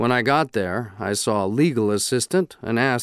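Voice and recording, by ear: The passage is read aloud in a natural voice, its intonation lively.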